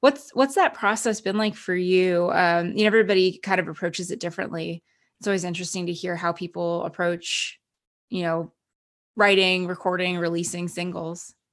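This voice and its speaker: A woman with an American accent and an ordinary speaking voice, medium in pitch, at a fairly quick pace with fairly even intonation, over a quiet background. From New Jersey. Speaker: podcast host. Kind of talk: interview. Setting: remote call.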